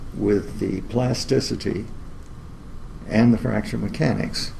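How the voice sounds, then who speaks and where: A man with a fairly low voice and an American accent talks very slowly. Room echo is audible around him. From US South, New Orleans, Louisiana. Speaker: engineering lecturer. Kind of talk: lecture. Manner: halting, many filler words.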